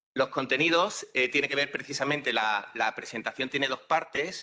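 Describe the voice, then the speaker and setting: A man talks at a moderate pace. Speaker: university professor. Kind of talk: conference talk. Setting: conference hall with live and online audience. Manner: halting, many filler sounds.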